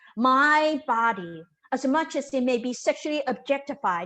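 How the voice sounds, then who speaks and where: The pace is moderate. The background stays quiet. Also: woman. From Taiwan. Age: 50s. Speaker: storyteller. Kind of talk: storytelling performance. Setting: video call.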